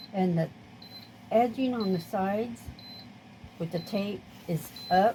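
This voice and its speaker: At a fairly slow pace and with long, frequent pauses, a woman speaks at medium pitch, somewhat breathy, in a dark, mellow tone with ordinary pitch variation. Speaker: craft hobby vlogger. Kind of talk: tutorial. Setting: home craft room. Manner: casual, halting.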